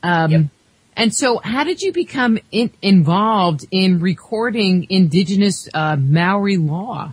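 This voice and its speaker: A woman speaks at a fairly slow pace with an American accent. Her voice is somewhat breathy. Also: medium pitch for a woman, lively intonation. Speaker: radio host. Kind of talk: interview. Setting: studio.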